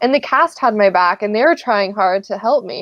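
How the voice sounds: Her intonation lively, a woman speaks at medium pitch and a moderate pace.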